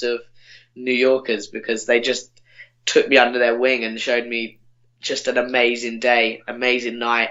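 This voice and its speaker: A man with an English accent, medium in pitch, at a moderate pace. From England. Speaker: podcast guest, former summer camp worker. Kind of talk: casual chat. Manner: halting.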